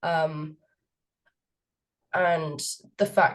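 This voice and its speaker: A woman with a southern English accent. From England, Cambridge. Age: 20s. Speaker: student society president. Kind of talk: interview. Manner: hesitant, many fillers.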